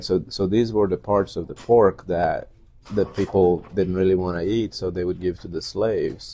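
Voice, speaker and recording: A man speaks at a moderate pace with a Portuguese accent, his pitch very deep and low. His tone is dark and mellow, and his intonation stays flat and monotone. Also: quiet background. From Brazil. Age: 40s. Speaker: high school teacher. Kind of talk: interview.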